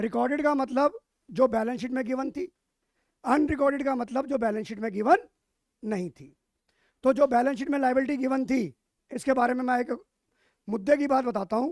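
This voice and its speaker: This man's voice sits at an extremely high pitch with ordinary pitch variation. He talks at a moderate pace, broken by long, frequent pauses. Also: big swings in loudness. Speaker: teacher. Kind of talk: lecture. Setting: live online class. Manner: loud.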